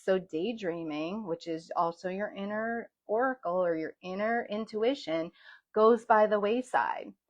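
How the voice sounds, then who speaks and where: This woman has a medium pitch and lively intonation. She talks at a fairly slow pace. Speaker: sound healer and yoga instructor. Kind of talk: guided spiritual talk, livestream. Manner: gentle.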